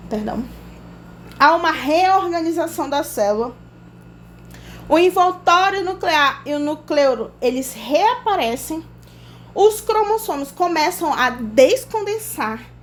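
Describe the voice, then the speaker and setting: A woman speaks at an extremely high pitch with very wide pitch swings, at a very slow pace. Long, frequent pauses break up her speech, and audible room echo surrounds it. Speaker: biology teacher. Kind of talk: lecture.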